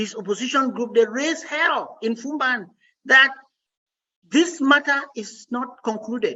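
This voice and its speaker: A non-native accent at a fairly slow pace, with ordinary pitch variation. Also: woman. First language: not English. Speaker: lawyer and activist leader. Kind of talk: interview. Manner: formal.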